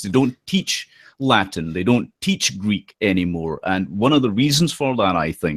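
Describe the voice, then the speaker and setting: A strong Scottish accent with lively intonation at a moderate pace, in a dry, close sound with no echo on a very clean recording with a silent background. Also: man. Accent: thick Scottish. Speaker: political commentator and occult philosopher. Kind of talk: podcast interview. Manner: halting, many fillers.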